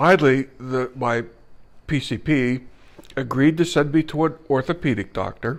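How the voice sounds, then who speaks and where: A man uses a plain, everyday voice at a medium pitch with ordinary pitch variation. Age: 60s. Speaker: retired businessman, ALS patient. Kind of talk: personal testimony.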